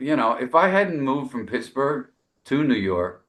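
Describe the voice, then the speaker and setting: This man has a bright, sharp tone with vocal fry at a medium pitch. His pitch swings very widely. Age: 60s. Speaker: jazz saxophonist. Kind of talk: casual interview chat. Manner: halting, many fillers and repetitions.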